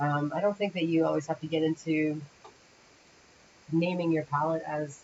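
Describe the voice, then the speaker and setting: With an American accent, the speaker moves at a moderate pace broken by long, frequent pauses, over light background noise. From Windsor, Ontario, Canada (near Detroit); Ontario. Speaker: animation rigging instructor. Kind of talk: livestream tutorial. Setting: livestream from parents' home. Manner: casual, thinking aloud. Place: home room.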